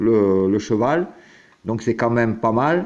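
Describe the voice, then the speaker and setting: The speaker is a man with a medium-pitched voice. He talks at a very slow pace. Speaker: horse racing tipster. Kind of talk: casual tipster talk to viewers. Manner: hesitant, many fillers.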